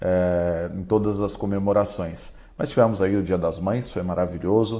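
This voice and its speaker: This man's voice is very deep and low, dark and mellow in tone. His intonation holds fairly even. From Brazil, Caraguatatuba coast of São Paulo. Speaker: radio broadcaster and station director. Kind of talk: interview.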